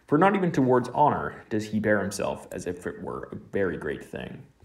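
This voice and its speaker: Showing vocal fry, a man talks at a moderate pace, his medium pitch moving in very wide swings. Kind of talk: literary audiobook reading of a philosophical text. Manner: measured, even-paced, formal.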